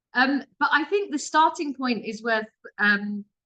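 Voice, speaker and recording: A woman's bright, sharp tone at a moderate pace. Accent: British. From England. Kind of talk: webinar presentation.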